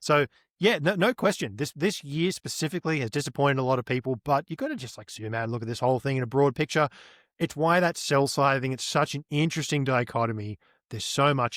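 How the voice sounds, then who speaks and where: On a very clean recording with a silent background and a dry, close sound with no echo, a man with an Australian accent talks very fast at a fairly high pitch with ordinary variation. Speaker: on-chain market analyst. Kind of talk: interview.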